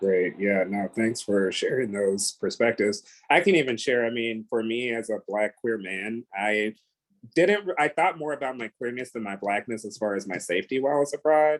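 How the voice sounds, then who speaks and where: A man with an American accent and an ordinary speaking voice talks at medium pitch with ordinary pitch variation. The pace is moderate and the sound dry and close with no echo. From United States. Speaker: panel moderator. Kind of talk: panel discussion.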